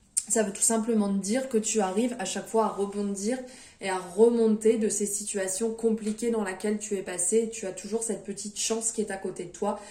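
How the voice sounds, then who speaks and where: Through noticeable background noise, a woman talks at a fairly quick pace in a monotone, flat intonation. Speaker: tarot card reader. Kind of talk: tarot reading video. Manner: hesitant, many fillers.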